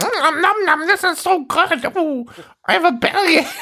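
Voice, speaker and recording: Extremely high pitch in a put-on character voice. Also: moderate pace. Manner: absurd, gleeful eating.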